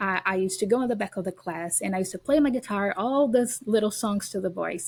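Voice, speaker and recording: Somewhat breathy and medium in pitch, a woman speaks with a Brazilian accent. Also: very clean recording, silent background. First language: Portuguese. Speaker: educator and homeschooling parent. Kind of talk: podcast interview.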